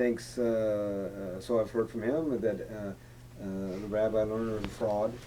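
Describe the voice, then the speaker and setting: A man's fairly low, fairly even voice at a fairly slow pace, with hardly any pauses, audible room echo and noticeable background noise. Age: 60s. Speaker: interviewer. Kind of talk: interview.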